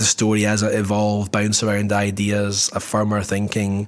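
A man speaks with a Scottish accent. His pitch is fairly low. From Scotland. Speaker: podcast co-host, market researcher. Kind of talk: casual chat.

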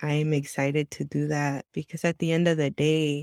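At a fairly slow pace, a woman with an American accent talks in a very deep, low pitch with fairly even intonation, recorded dry and close with no echo. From Southern California (Santa Ana, Orange County). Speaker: youth worker and former missionary. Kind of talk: interview conversation. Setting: video call.

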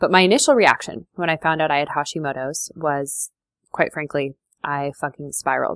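A woman with a very deep, low pitch speaks at a moderate pace with ordinary pitch variation, the sound dry and close with no echo. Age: 30s. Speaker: podcast host and food freedom coach. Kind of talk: casual personal monologue.

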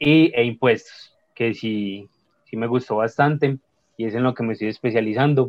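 An ordinary speaking voice at a moderate pace, with fairly even intonation. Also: man, medium pitch for a man. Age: 20s. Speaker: accountant, social media creator. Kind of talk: casual interview chat.

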